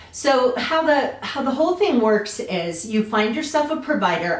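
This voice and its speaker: Over noticeable background noise and audible room echo, the voice swings very widely in pitch at a fairly slow pace. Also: woman. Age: 60s. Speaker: lifestyle vlogger. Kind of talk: personal testimony vlog. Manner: casual with frequent fillers.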